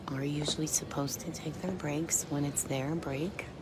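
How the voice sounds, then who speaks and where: A soft-spoken woman whispers at a moderate pace, with audible room echo and noticeable background noise. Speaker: pool commentator. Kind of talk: live commentary. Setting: venue next to the pool table. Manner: whispering.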